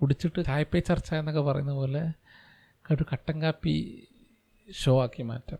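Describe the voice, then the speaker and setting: The voice has a dark, mellow tone, captured in a very clean recording with a silent background and a dry, close sound with no echo. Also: man. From Malappuram, Kerala. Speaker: engineer and podcaster. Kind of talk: solo podcast monologue. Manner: halting, with pauses.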